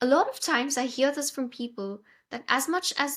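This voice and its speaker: A woman speaks at a high pitch with a bright, sharp tone, ordinary pitch variation and a moderate pace. The recording is very clean, with a silent background. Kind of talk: podcast host interview.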